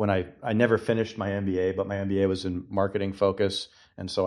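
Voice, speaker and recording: Over a quiet background, a man with an American accent speaks at a fairly low pitch. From Massachusetts. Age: 40s. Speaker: book group member. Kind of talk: casual book discussion.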